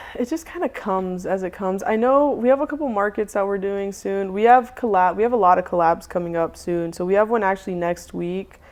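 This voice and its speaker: This woman has an unremarkable speaking voice with a medium pitch and ordinary pitch variation. She speaks with hardly any pauses. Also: fairly quick pace. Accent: American. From US South, Charlotte, North Carolina. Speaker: food truck owner. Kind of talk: casual interview chat.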